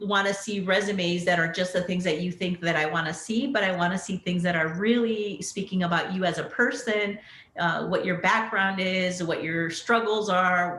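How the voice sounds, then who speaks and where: The woman's pitch sits in the medium range, and her intonation is fairly even. She speaks at a moderate pace over noticeable background noise. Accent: American. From US Southwest border, southern Arizona. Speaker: pharmacist executive. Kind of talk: panel interview. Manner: conversational with many fillers.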